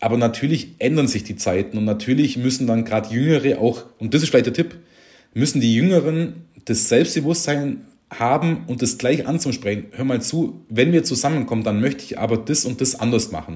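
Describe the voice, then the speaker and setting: Speaking at a fairly quick pace, a man uses a dark, mellow tone at medium pitch, with vocal fry and ordinary pitch variation. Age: 40s. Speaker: tax advisor, firm owner. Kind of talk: casual interview.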